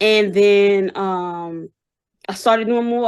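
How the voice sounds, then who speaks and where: A woman with an American accent, medium pitch, a fairly slow pace and a quiet background. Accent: Brooklyn accent, comes and goes. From New York, Brooklyn. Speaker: business founder and artist manager. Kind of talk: interview. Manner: hesitant, many fillers.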